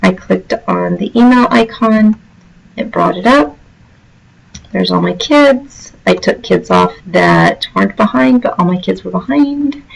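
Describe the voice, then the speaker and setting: A woman speaks fairly slowly while music plays behind her. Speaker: teacher. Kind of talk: tutorial.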